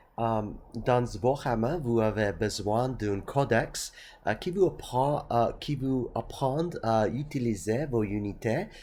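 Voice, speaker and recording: A man's dark, mellow tone at a very slow pace, with a non-native accent and ordinary pitch variation. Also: medium pitch for a man. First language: not French (speaking French). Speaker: tabletop gaming youtuber. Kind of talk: casual explainer. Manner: halting, many hesitations.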